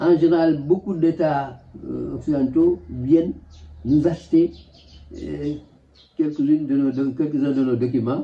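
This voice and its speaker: A man's fairly high, somewhat breathy voice moves at a fairly slow pace, broken by long, frequent pauses. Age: 80s+. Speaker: museographer, photographer, filmmaker. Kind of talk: interview answer.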